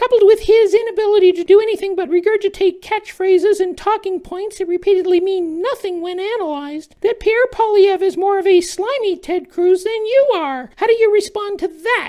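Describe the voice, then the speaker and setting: Extremely high-pitched and fairly quick, this put-on character voice runs on with hardly any pauses. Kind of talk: comedic satire sketch.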